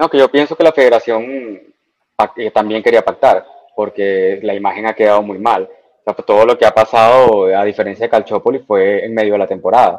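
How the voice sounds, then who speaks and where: At a fairly quick pace, a man talks in a normal speaking voice of medium pitch with ordinary pitch variation. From Dominican Republic. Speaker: football fan. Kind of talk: casual chat. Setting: online call.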